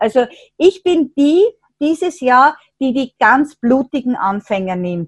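A woman speaks at a very slow pace in a high voice, recorded with a dry, close sound and no echo. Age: 60s. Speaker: teacher of an integration class. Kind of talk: interview.

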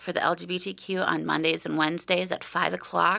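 A woman with an American accent speaks at a fairly low pitch with vocal fry. The recording is very clean, with a silent background. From northern Minnesota. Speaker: peer recovery specialist. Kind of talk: interview.

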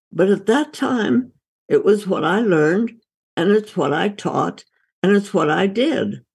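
A woman's medium-pitched voice with lively intonation, vocal fry and a fairly slow pace. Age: 80s+. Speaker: doctor and author. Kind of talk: interview conversation.

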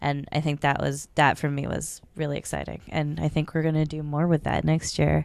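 A woman talks at a moderate pace with hardly any pauses, the background quiet. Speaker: festival co-director. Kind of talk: casual interview.

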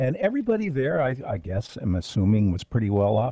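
A man's medium pitch and dark, mellow tone, somewhat breathy, with lively intonation at a moderate pace and a dry, close sound with no echo. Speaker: radio broadcaster. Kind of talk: casual chat.

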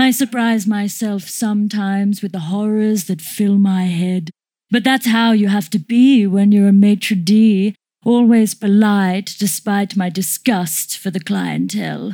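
Fairly slow speech from a woman at a medium pitch, with fairly even intonation. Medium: audio drama. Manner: prim, chatty, quietly sinister.

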